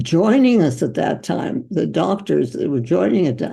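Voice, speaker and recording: Very wide pitch swings with vocal fry at a fairly slow pace. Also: woman. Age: 80s+. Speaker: physician. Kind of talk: interview answer.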